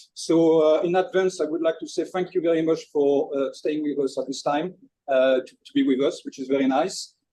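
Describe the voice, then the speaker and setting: A man speaks with a strong French accent at a fairly high pitch. His tone is dark and mellow, and his loudness swings widely. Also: ordinary pitch variation, moderate pace. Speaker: chef presenter. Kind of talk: webinar presentation. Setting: kitchen, online webinar.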